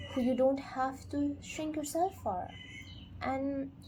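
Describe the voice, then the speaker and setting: A woman's calm tone at a fairly slow pace, amid noticeable background noise. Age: 20s. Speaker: book reviewer. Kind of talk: casual talk to camera. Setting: earbud microphone. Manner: calm, reflective.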